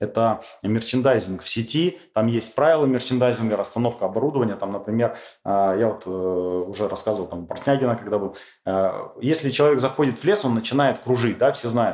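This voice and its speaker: Using a normal speaking voice, a man talks at a fairly quick pace, his medium pitch showing ordinary variation. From Urals, Russia. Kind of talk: interview.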